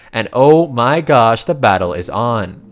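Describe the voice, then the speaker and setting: With music in the background, a man speaks at a medium pitch. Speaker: manhwa recap narrator. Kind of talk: story recap narration. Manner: animated.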